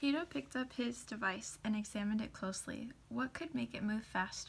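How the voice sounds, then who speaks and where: Soft-spoken and somewhat breathy, a woman talks at medium pitch and a moderate pace, with ordinary pitch variation. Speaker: ASMR content creator. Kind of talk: storybook narration.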